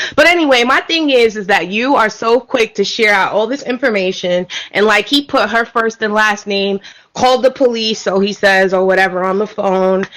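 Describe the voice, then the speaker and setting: A woman with a New York accent talks at a moderate pace, her pitch fairly high with ordinary variation. Background noise is noticeable. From New York City, Brooklyn. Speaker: caller. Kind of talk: casual chat. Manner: loud.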